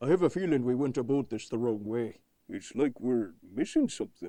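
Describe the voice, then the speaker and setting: A man does a cartoonish character voice at a medium pitch. He talks at a fairly quick pace. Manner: mild, nervous.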